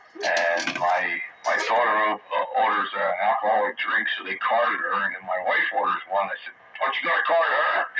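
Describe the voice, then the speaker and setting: Noticeable background noise runs under the audio. A man speaks at a moderate pace. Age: 60s. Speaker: amateur radio net host. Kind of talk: casual chat.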